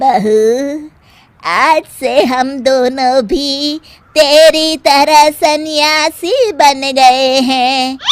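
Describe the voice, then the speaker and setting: In a cartoonish character voice, a woman speaks very slowly at a high pitch. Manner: scolding, bossy.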